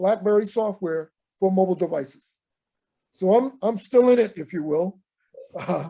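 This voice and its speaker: A man with a high pitch and a dark, mellow tone talks at a moderate pace with ordinary pitch variation. His speech has long, frequent pauses. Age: 70s. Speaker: Special Forces veteran. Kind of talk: oral history group conversation. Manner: halting.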